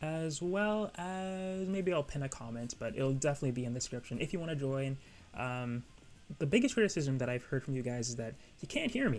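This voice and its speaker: The speaker is soft-spoken and moves at a fairly quick pace. Music plays in the background. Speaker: anime YouTuber. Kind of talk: casual vlog commentary. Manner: hesitant, filler words.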